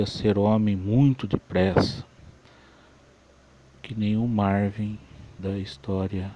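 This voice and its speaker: Very slowly, a man speaks in a fairly low voice with a dark, mellow tone. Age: 40s. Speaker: electronics repairman. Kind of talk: personal life story monologue.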